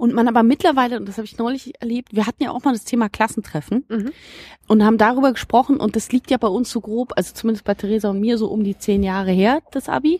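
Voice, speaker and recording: A woman speaks very fast in a fairly high, somewhat breathy voice with a dark, mellow tone. The sound is dry and close with no echo, in a very clean recording with a silent background. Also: ordinary pitch variation. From Berlin (Biesdorf, Marzahn). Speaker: podcast host. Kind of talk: casual chat. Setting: outdoors in a garden.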